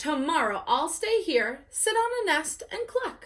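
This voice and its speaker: Putting on a character voice, a woman speaks at an extremely high pitch with very wide pitch swings and a fairly slow pace. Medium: read story.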